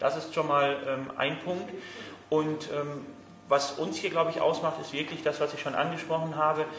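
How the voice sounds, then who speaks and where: Amid noticeable background noise and audible room echo, a man with a fairly high pitch speaks at a moderate pace in a flat monotone. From Germany, Münster. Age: 30s. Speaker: floorball equipment company employee. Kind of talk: interview. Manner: hesitant, many fillers.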